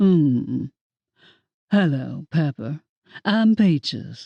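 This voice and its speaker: Someone in a put-on character voice talks at a very slow pace in a middle pitch. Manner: bored, dry.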